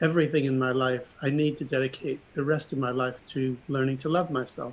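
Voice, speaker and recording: Speaking at a fairly quick pace with an American accent, the man has a normal speaking voice. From New York. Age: 60s. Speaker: artist. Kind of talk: presentation.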